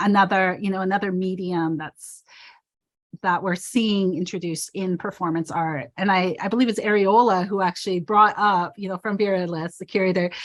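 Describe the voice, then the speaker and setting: The background stays quiet. An unremarkable speaking voice talks at a moderate speed, its intonation fairly even. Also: woman, medium pitch for a woman. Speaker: performance artist. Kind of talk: panel talk over video call.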